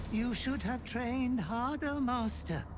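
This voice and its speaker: A put-on character voice, fairly high in pitch, at a fairly slow pace over loud background noise. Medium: video game.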